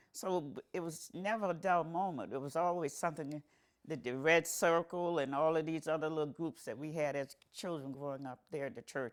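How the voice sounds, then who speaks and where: A woman is speaking. The recording is very clean with a silent background. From South Florida. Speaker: oral history interviewee. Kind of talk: oral history interview. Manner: halting, with many repetitions.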